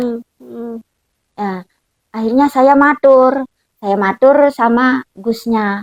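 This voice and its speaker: A woman speaks at a fairly slow pace with fairly even intonation in a Lombok accent. The sound is dry and close, with no echo. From Lombok, Indonesia. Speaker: Quran recitation teacher. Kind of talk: interview answer.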